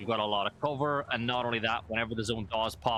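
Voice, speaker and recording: Here a man speaks at a fairly quick pace with ordinary pitch variation. His medium-pitched voice has a bright, sharp tone. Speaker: esports caster. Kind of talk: live commentary.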